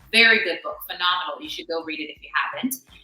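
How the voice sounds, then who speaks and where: A woman speaks at a medium pitch and a fairly quick pace with an American accent. Music plays in the background. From born in Kingston, Jamaica, raised in the US from age seven. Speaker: actress. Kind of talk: podcast interview.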